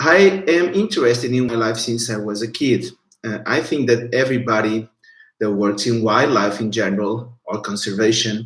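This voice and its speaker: In a Portuguese accent, a man speaks at a medium pitch. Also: ordinary pitch variation, moderate pace. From Portugal. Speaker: biologist and researcher. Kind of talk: online educational talk. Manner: halting.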